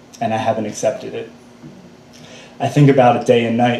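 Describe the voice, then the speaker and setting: A man's voice against noticeable background noise. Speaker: spoken word poet. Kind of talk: slam poetry performance. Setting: live stage.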